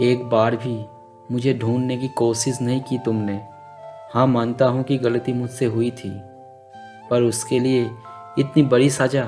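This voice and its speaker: A man at medium pitch, monotone and flat, with long, frequent pauses and music in the background. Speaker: voice-over narrator. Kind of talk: emotional sad love story monologue. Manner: slow, sorrowful.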